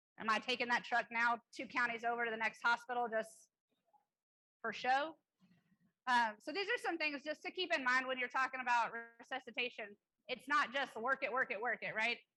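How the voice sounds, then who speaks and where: A woman's high-pitched voice, bright and sharp in tone, at a fairly quick pace with long, frequent pauses and ordinary pitch variation. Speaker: EMS clinician presenter. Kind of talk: conference lecture. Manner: fast.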